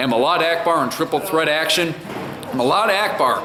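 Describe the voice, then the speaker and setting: A man with a high pitch speaks at a moderate pace over noticeable background noise. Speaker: wrestling ring announcer. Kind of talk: wrestling event recap to camera. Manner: energetic, hyped.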